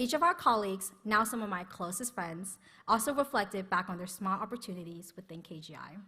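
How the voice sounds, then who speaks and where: On a very clean recording with a silent background, a woman with a medium-pitched, bright, sharp tone talks at a fairly quick pace, showing ordinary pitch variation and big swings in loudness. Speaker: graduating student speaker. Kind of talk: commencement speech.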